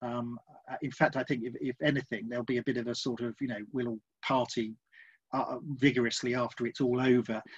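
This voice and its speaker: Over a quiet background, a man speaks at medium pitch and a fairly quick pace. His intonation is monotone and flat, and the sound is dry and close with no echo. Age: 50s. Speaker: novelist. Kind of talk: interview. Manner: halting.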